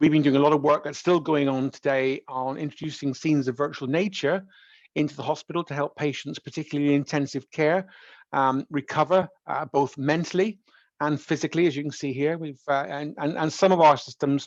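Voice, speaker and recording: A man with a West Country accent talks at a fairly quick pace in a fairly high pitch, with fairly even intonation. The sound is dry and close with no echo, over a quiet background. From West Country, England. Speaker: professor. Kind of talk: lecture. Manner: halting, many fillers and repetitions.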